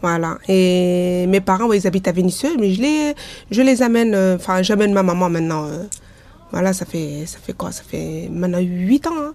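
Medium-pitched woman's voice at a moderate pace, lively intonation and big swings in loudness, with noticeable background noise. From Lyon area, France. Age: 40s. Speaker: bathhouse user. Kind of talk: interview testimony. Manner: halting, many fillers.

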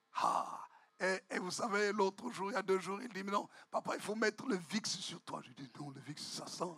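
Speaking at a moderate pace, a man with a high pitch shows ordinary pitch variation and big swings in loudness. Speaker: visiting bishop preaching. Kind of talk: sermon. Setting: church. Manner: usually loud, shouting.

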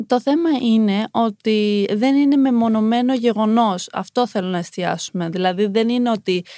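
A woman's dark, mellow voice, fairly high in pitch with ordinary pitch variation, dry and close with no echo, with hardly any pauses. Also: moderate pace. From Iran, raised in Greece from age 5. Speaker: former TV model contestant, activist voice. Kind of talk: interview.

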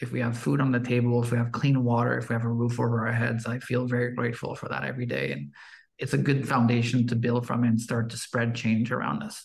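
A man talks at a very fast pace in a medium pitch. His voice is somewhat breathy, with ordinary pitch variation. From Quebec, Canada. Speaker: podcast host. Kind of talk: podcast conversation.

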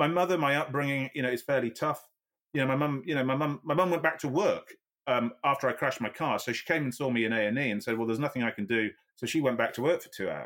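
Very fast and in a Yorkshire accent, a man talks with a fairly high pitch and ordinary pitch variation. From Yorkshire, northern England. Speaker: amputee ice swimmer and triathlete. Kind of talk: interview conversation.

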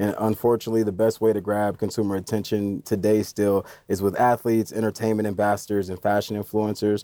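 In an American accent, a man talks at a very fast pace with hardly any pauses, his fairly low, dark, mellow voice held in a monotone, flat intonation. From Indiana, US Midwest. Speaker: 3D capture consultant. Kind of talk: podcast interview.

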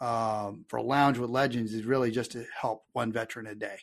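A man with a Texan accent over a quiet background. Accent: Texan American. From Texas. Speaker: army veteran and marketing consultant. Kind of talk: casual interview.

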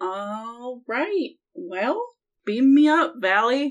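A woman uses a put-on character voice pitched high, with very wide pitch swings. She speaks at a very slow pace. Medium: actual play.

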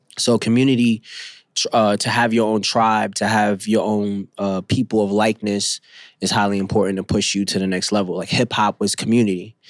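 A man with a New York accent and a fairly low pitch talks at a fairly quick pace in a monotone, flat intonation. The recording is very clean with a silent background, and the sound is dry and close with no echo. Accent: New York (Bronx). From New York City, the Bronx. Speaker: rapper and multimedia artist. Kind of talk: casual interview. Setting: studio. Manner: halting, many fillers.

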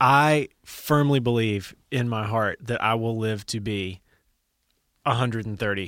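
This man has a normal speaking voice at medium pitch and talks at a fairly slow pace with fairly even intonation. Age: 30s. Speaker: podcast host. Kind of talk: casual chat.

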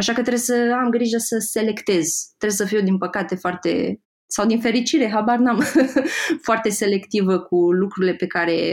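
Here is a normal speaking voice at a moderate tempo. Its pitch varies in an ordinary way. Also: woman. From Moldova region. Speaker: graphic designer and Instagram creator. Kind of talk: podcast interview.

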